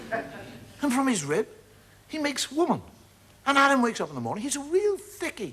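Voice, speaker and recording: A man's extremely high voice with lively intonation, a fairly quick pace, long and frequent pauses, and noticeable background noise. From Ireland. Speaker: stand-up comedian. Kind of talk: stand-up comedy routine, storytelling to an audience.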